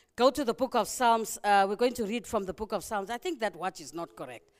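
A Zimbabwean accent at a fairly quick pace in a very clean recording with a silent background. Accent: Zimbabwean (Shona) English. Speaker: preacher. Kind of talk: sermon.

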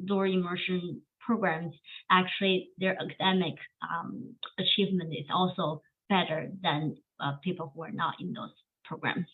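A woman with a Chinese accent and fairly even intonation. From China. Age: 30s. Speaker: education professor. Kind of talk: interview.

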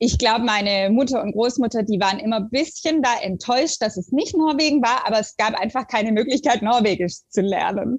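A woman talks in a plain, everyday voice at a fairly high pitch with ordinary pitch variation. She keeps a moderate pace with hardly any pauses. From southern Germany (Stuttgart area). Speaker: literature professor. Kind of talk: academic interview. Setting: remote call.

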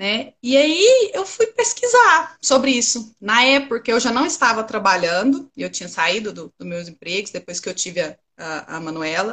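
A woman talks at a moderate pace with hardly any pauses, her fairly high voice swinging very widely in pitch. Her loudness also swings widely. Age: 30s. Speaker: trader, former systems analyst. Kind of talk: interview.

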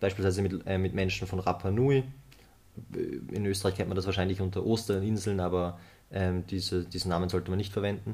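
A man's very deep, low, somewhat breathy voice at a fairly quick pace, monotone and flat, with long, frequent pauses. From Austria, Vorarlberg. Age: 20s. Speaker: UN youth delegate and climate activist. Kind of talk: podcast interview. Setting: studio, face to face. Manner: hesitant, many filler sounds.

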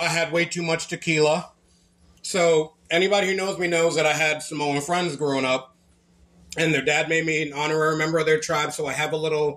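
Over noticeable background noise, a man talks at a fairly quick pace in a fairly high voice. His intonation is monotone and flat. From Massachusetts, Lynn. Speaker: podcast co-host. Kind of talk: casual chat.

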